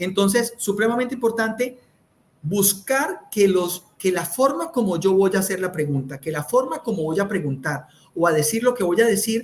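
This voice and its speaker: A man talks with a high pitch at a moderate pace. His intonation is lively. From Colombia, Santander. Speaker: communication speaker. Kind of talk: interview. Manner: loud, high tone.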